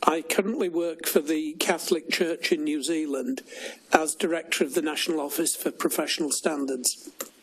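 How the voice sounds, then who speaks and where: Against noticeable background noise, a man with a northern English accent and a fairly high pitch talks at a moderate pace with ordinary pitch variation. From northern England. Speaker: church safeguarding director, former priest. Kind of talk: formal inquiry testimony.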